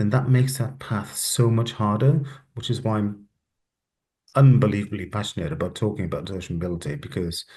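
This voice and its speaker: With a Welsh accent, a man with a fairly low pitch, ordinary pitch variation and a somewhat breathy, dark, mellow tone speaks at a fairly quick pace against a quiet background. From West Wales. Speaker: panelist. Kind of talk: panel discussion. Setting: webinar.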